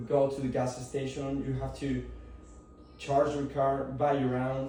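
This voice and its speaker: A man with a Spanish accent speaks at a medium pitch amid noticeable background noise and audible room echo. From Mexico. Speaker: student. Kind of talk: class presentation. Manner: halting.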